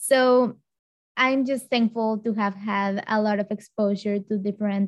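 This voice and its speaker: A woman with a Spanish accent speaks at a fairly slow pace in a fairly high pitch and a flat monotone, over a quiet background. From Mexico. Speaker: change management consultant. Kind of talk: interview.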